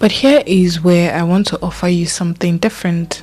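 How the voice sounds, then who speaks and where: A soft-spoken, calm voice at a fairly slow pace, with music in the background. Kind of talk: reflective mental health narration.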